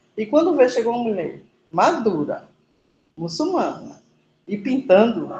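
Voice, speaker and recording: Her pitch is fairly high, swinging very widely. This woman has vocal fry and a dark, mellow tone. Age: 50s. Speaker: muralist artist. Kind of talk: class discussion testimony.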